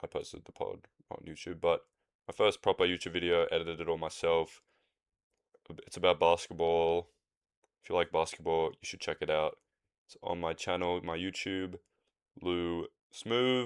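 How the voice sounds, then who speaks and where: A man with an Australian accent at a moderate pace, relaxed in tone, with long, frequent pauses, big swings in loudness, and a dry, close sound with no echo. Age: 20s. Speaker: podcaster. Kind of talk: casual solo podcast monologue. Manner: relaxed, rambling with fillers.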